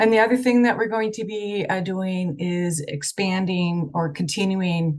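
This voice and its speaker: Speaking at a fairly slow pace, a woman uses a medium pitch and ordinary pitch variation. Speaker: state health program official presenting. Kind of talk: presentation at online meeting. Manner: hesitant with many fillers.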